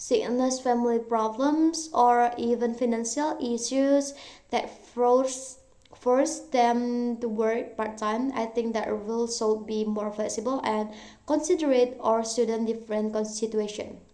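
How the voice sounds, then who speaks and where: With an Indonesian accent, a woman speaks at a high pitch and fairly slow pace in a dark, mellow tone with fairly even intonation, amid audible room echo. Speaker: university student. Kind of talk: recorded exam answers, self-directed Q&A. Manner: halting, self-correcting.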